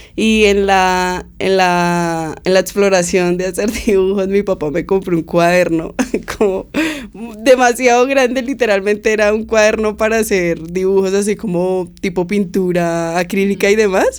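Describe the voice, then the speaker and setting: Against noticeable background noise, a woman talks at a medium pitch and a fairly slow pace, with fairly even intonation. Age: 20s. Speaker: musician. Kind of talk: interview. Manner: casual, hesitant fillers.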